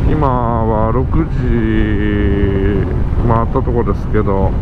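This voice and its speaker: The recording is dry with no echo. Loud background noise is present. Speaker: motovlogger. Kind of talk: casual vlog chat. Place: motorbike.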